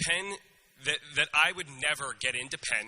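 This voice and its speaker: With a Philadelphia accent, a man speaks at a fairly high pitch using lively intonation. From US, Northeast Philadelphia. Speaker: graduating student speaker. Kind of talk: commencement speech. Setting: stage with audience.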